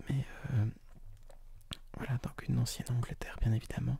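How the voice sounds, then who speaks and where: A man is whispering. His words come out in a whisper throughout. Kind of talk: ASMR soft spoken talk about anime and manga.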